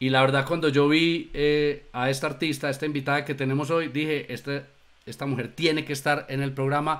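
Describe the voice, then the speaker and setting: In a very clean recording with a silent background, a man speaks in a sing-song way at a fairly high pitch. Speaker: show co-host. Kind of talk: live talk show. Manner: sing-song intonation.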